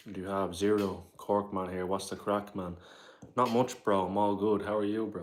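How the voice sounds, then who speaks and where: A man with a fairly low pitch speaks at a moderate pace in a flat monotone. Audible room echo surrounds his voice. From Ireland, Dublin area. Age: 20s. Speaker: live streamer. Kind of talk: casual chat. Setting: live stream on camera. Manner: casual.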